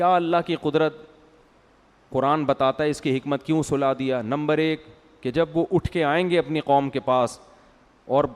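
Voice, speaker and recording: A man with an unremarkable speaking voice talks at a fairly high pitch, with ordinary pitch variation and a dry, close sound with no echo. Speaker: Islamic scholar giving a sermon. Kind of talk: religious sermon, storytelling lecture. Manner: conversational, explanatory.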